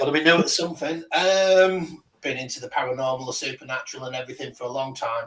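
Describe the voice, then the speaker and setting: A man speaks at a fairly quick pace. His is an unremarkable speaking voice with ordinary pitch variation. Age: 50s. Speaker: paranormal investigator. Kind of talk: casual chat.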